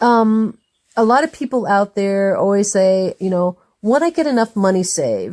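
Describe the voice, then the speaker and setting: At medium pitch and a moderate pace, a woman uses a normal speaking voice with lively intonation and very even loudness, recorded dry and close with no echo. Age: 60s. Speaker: podcast host interviewing authors and guests. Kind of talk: casual interview. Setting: in person, on location.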